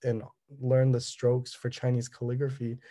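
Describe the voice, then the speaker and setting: Dark and mellow in tone, a man with a Californian accent speaks at a medium pitch. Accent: Californian American English. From Southern California. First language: Cantonese. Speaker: artist. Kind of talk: artist talk presentation. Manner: halting, many fillers.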